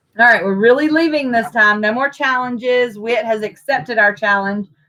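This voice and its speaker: A loud woman's voice, bright and sharp in tone, with ordinary pitch variation. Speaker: national officer of a civic leadership organization co-hosting a livestream. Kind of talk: casual chat. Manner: animated.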